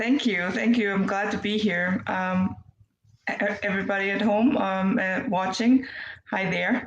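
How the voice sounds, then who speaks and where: In a German accent, a woman talks at a fairly slow pace with medium pitch and fairly even intonation, and audible room echo. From Germany. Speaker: nurse, infection control specialist. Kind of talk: interview. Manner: halting, many fillers.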